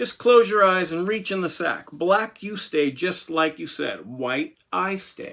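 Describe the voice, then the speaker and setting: A man puts on a hissing character voice, high in pitch. He talks at a fairly slow pace with hardly any pauses. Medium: read story. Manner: hissing, smug.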